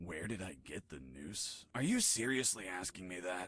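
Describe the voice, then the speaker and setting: A man puts on a raspy character voice with a very deep, low pitch. He talks at a moderate pace. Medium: video game. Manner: deadpan, sarcastic.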